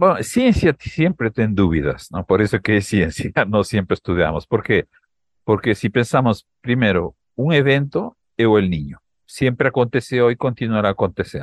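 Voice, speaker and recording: A man with a Peruvian accent talks at a moderate pace with a medium pitch. His intonation is lively against a quiet background. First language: Spanish (speaking Portuguese). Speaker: climate scientist. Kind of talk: interview.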